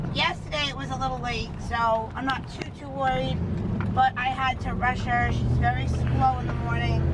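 Over loud background noise, the speech moves at a moderate pace. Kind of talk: casual vlog chat. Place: car. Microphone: camera far.

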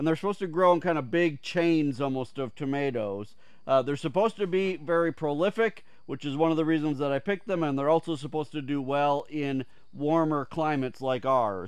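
At a fairly quick pace, a man talks with ordinary pitch variation in a dry sound with no echo against a quiet background. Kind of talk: casual vlog chat. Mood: relaxed, friendly. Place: garden.

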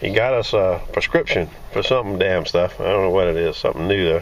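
Moderate-paced male speech over noticeable background noise. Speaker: metal detecting vlogger. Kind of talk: casual vlog update.

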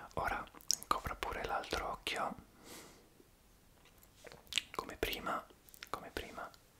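Whispering at a fairly slow pace, a man speaks. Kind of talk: soft-spoken roleplay instructions. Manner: soft, hushed ASMR examiner voice.

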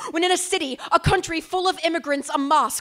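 At a fairly quick pace, a woman uses a raised, projected voice with ordinary pitch variation. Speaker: slam poet. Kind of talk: spoken word poetry performance. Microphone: handheld.

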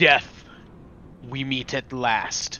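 A booming, put-on character voice from a man at a medium pitch, against clear background noise. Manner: dramatic, defiant.

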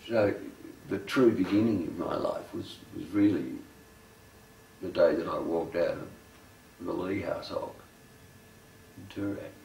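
A man with an Australian accent talks at a moderate pace amid light background noise and audible room echo. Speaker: poet. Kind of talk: documentary interview answer. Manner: casual, halting, conversational. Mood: reflective, wry. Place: home room.

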